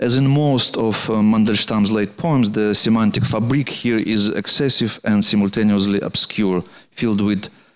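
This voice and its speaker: Speaking with a Russian accent, a man uses a fairly low pitch, fairly even intonation and a fairly slow pace. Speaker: poet and translator lecturing. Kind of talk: lecture. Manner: halting.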